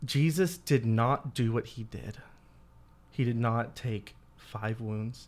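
A man of medium pitch speaks at a very slow pace with ordinary pitch variation. Long pauses come often. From Louisiana. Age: 20s. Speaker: former missionary, youth minister. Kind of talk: casual chat.

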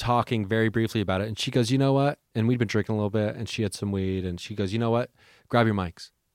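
A man with an ordinary speaking voice talks at medium pitch with fairly even intonation, on a very clean recording with a silent background and a dry, close sound with no echo. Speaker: podcaster. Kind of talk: casual chat.

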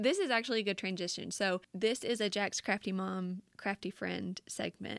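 In a strong Southern US accent, a woman speaks at medium pitch with fairly even intonation. The sound is dry and close with no echo, on a very clean recording with a silent background. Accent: thick Southern US. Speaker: podcast host. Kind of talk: casual chat, interview.

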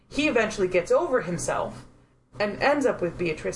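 In a plain, everyday voice, a woman speaks with lively intonation. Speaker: podcast co-host. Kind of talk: casual chat.

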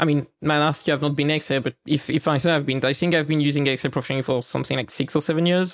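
The recording is very clean, with a silent background. A man with a French accent speaks at a fairly high pitch. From eastern France. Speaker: site reliability engineer. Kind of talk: interview.

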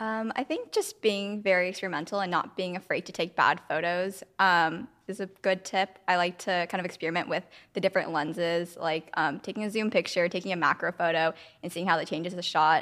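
A woman with an American accent speaks in a normal speaking voice at a medium pitch and a fairly quick pace. Her intonation stays fairly even, and the recording is very clean with a silent background. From San Francisco, US. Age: 20s. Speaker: photographer. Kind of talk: interview.

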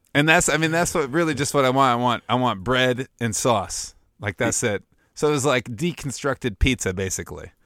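In a normal speaking voice, a man of medium pitch talks at a fairly quick pace with lively intonation, the sound dry and close with no echo on a very clean recording with a silent background. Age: 30s. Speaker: podcast co-host. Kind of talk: casual chat.

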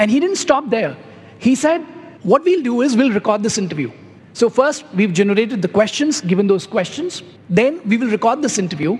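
An extremely high-pitched man at a fairly quick pace, his pitch swinging very widely over noticeable background noise. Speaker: CEO, panel guest. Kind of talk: panel discussion, live.

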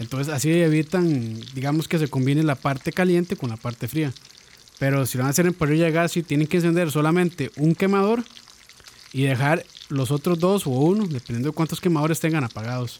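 Over noticeable background noise, a man talks at a fairly quick pace, his fairly high pitch showing ordinary variation. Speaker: podcast co-host. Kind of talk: casual chat.

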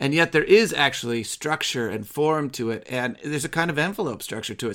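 In an American accent, a man speaks with a bright, sharp tone and ordinary pitch variation. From US Midwest. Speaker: podcast host. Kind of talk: discussion of a poem.

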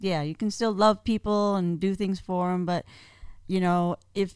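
In a very clean recording with a silent background, a woman with an unremarkable speaking voice talks at a medium pitch and a moderate pace. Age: 50s. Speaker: guest, host's aunt. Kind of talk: casual chat.

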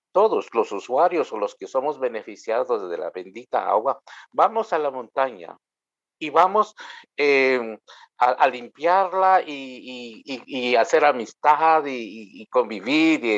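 In a Guatemalan accent, a man of medium pitch speaks at a very slow pace with very wide pitch swings and big swings in loudness. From Guatemala, Maya K'iche'. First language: K'iche' (speaking Spanish). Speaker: Anglican priest. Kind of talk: interview. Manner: hesitant, with many fillers.

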